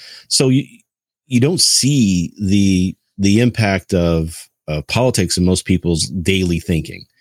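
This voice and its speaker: Dry and close with no echo, a man's very deep, low voice moves at a fairly slow pace with ordinary pitch variation. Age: 30s. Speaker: podcast co-host. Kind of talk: casual chat.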